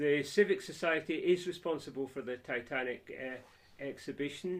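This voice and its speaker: A man's fairly high voice with a Scottish accent, moderate in pace, with big swings in loudness and ordinary pitch variation. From Scotland, Scottish Borders (Peeblesshire). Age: 70s. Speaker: civic society chairman. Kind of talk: interview.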